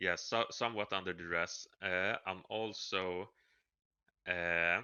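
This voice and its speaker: A man with a non-native accent speaks at a very slow pace, his very deep, low voice monotone and flat. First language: not English. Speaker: podcast co-host. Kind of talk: casual chat. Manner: halting.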